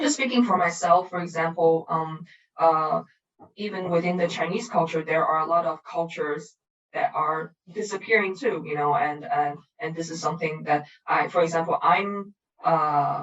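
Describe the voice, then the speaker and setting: A woman with a fairly low pitch, ordinary pitch variation and a fairly slow pace. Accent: Cantonese. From Macau, with childhood in Australia. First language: Cantonese. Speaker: artist. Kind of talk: interview. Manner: halting, many fillers.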